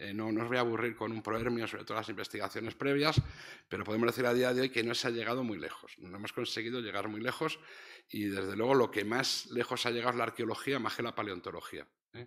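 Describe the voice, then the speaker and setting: Speaking very fast in a Castilian accent, a man keeps his medium-pitched voice at fairly even intonation. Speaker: professor. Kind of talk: lecture. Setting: stage with audience. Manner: soft-spoken.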